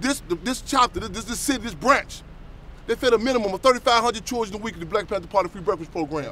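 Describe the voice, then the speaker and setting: Raising and projecting his high-pitched voice, a man talks at a very fast pace. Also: lively intonation, big swings in loudness. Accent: American. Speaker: activist speaker. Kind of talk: speech to audience. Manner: animated.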